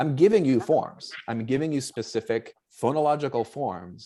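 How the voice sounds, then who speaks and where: A man with a slight Boston accent on a very clean recording with a silent background. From Boston, US. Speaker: anthropologist, book contributor. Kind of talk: panel discussion. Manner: halting, many fillers.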